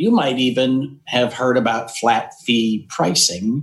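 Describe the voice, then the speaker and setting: The speaker talks at a very slow pace. The voice carries an American accent. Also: man. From Eastern Washington, US. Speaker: IT business coach and consultant. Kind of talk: interview conversation. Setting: home office.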